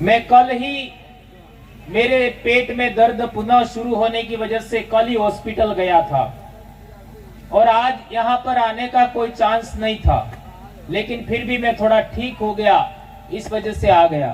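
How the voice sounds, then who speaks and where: Speech comes at a very slow pace with fairly even intonation. Background noise is noticeable. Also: man, extremely high pitch for a man. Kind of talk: public speech at rally. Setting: outdoor tent with audience. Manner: forceful, impassioned.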